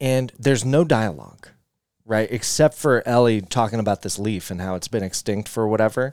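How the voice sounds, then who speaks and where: This is a man with a normal speaking voice, medium pitch and ordinary pitch variation. He keeps a moderate pace on a very clean recording with a silent background. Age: 30s. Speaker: podcast host. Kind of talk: casual banter, comedic podcast chat.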